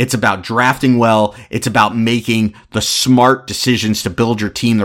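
The voice carries an American accent. Its tone is animated. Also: man. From South Florida. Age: 30s. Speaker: sports podcast host. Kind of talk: solo sports commentary podcast.

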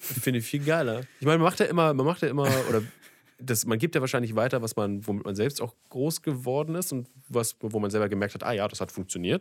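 A man races along at a very fast pace, his intonation lively. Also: medium pitch for a man. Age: 20s. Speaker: podcast host. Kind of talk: casual chat.

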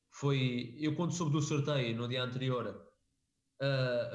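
A man with a European Portuguese accent speaks in a somewhat breathy, medium-pitched voice with fairly even intonation. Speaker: MMA podcast co-host. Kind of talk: casual chat.

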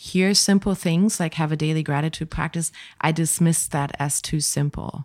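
With a German accent, a woman speaks at a moderate pace in a fairly low pitch, her dark, mellow tone carrying fairly even intonation. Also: very clean recording, silent background. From Germany, village near Hanover. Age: 40s. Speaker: holistic life coach. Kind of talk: interview. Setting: studio.

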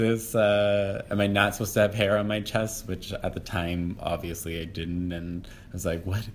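With an American accent and a normal speaking voice, a man with a fairly low pitch talks at a moderate pace with hardly any pauses. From Massachusetts. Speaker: podcast guest, playwright. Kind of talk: casual interview.

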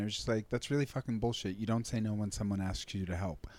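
A man speaks at a very fast pace in a dark, mellow tone with fairly even intonation, on a very clean recording with a silent background. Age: 30s. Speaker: comedian and podcast co-host. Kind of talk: casual chat.

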